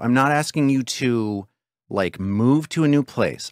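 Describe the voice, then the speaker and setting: In a dry recording with no echo and a quiet background, a man speaks with lively intonation. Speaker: podcast host. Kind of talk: casual podcast intro chat. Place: home room. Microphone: studio mic.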